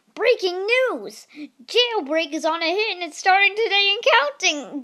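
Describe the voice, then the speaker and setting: Moderate pacing in a put-on character voice. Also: woman, extremely high pitch for a woman. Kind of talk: playful, exaggerated. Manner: excited news-announcer delivery.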